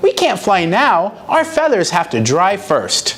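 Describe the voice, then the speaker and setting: A put-on character voice, female-sounding and at middle pitch, moves at a fairly slow pace over clear background noise. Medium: read story. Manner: hesitant, stammering.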